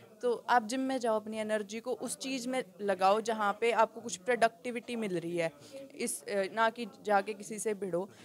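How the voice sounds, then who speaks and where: With a strong Haryanvi accent, a woman speaks at a moderate pace using fairly even intonation. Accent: thick Rohtak Haryanvi. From Haryana, Rohtak. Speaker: dancer and fitness enthusiast. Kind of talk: interview at salon opening. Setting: salon opening event.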